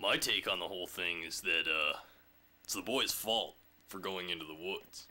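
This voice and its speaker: A man's put-on character voice, raspy and very deep in pitch, at a moderate pace. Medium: solo performance. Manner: musing, rambling.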